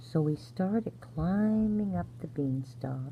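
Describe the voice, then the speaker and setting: A soft-spoken woman talks at a very slow pace with a very deep, low pitch and very wide pitch swings. Her tone is dark, mellow and gentle, and somewhat breathy. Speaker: grandmother-style bedtime storyteller. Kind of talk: sleep story. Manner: soft-spoken, gentle.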